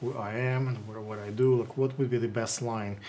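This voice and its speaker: A man with a strong Russian accent, medium pitch, fairly even intonation and a moderate pace, against noticeable background noise. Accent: heavy Russian. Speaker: interviewer, photographer. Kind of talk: interview. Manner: halting, many fillers.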